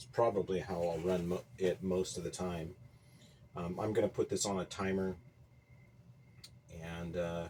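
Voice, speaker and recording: A quiet man's very deep, low voice with a dark, mellow tone, fairly even intonation, moderate pace and long, frequent pauses. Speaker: agriculture teacher and home gardener. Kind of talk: casual video vlog. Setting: small greenhouse at night. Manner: low, quiet voice.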